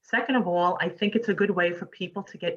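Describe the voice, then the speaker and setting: In a New York accent, a woman talks at a fairly quick pace with medium pitch and ordinary pitch variation. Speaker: interview host, author. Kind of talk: casual chat.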